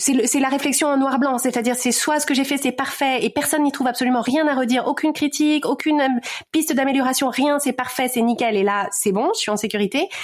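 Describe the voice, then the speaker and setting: A woman with a high pitch talks at a fairly quick pace. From Paris region, France. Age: 40s. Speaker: podcaster and life coach. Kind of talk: interview. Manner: fast; hesitant, many fillers and repetitions.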